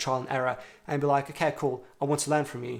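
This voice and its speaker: Very fast and flat, a man speaks in a monotone with a fairly high pitch. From Russia, moved to UK at ten. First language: Russian. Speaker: self-improvement vlogger. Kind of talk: casual talking-head vlog. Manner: casual, conversational with fillers.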